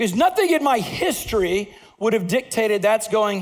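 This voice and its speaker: Talking at a moderate pace, a man uses a high pitch, an animated tone and very wide pitch swings. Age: 50s. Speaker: pastor. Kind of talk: sermon.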